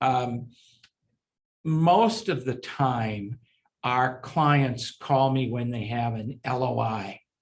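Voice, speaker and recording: Somewhat breathy, a man speaks very slowly at a medium pitch with ordinary pitch variation and long, frequent pauses. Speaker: securities attorney and former syndicator. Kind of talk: interview.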